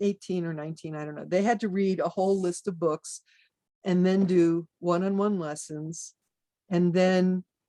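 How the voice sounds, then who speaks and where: Speaking at a moderate pace, a woman uses a fairly low pitch and a dark, mellow tone, keeping her intonation fairly even. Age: 60s. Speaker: druid teacher and pagan author. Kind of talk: interview.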